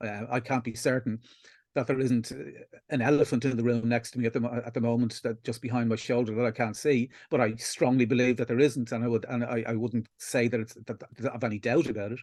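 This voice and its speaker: Against a quiet background, a man speaks very fast in an Irish accent. His medium-pitched voice has a monotone, flat intonation. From Ireland. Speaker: atheist activist. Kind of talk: interview. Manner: halting.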